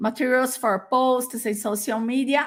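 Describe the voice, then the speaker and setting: In a very clean recording with a silent background, a woman speaks at a high pitch with a Portuguese accent. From Brazil. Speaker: educator and teacher trainer. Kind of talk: conference presentation. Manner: halting, many fillers.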